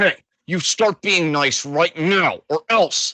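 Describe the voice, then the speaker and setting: A put-on character voice at middle pitch, delivered at a very slow pace. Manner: menacing, threatening.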